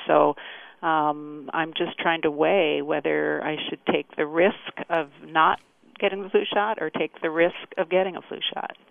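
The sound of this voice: A woman with a low pitch and vocal fry speaks at a fairly slow pace with fairly even intonation.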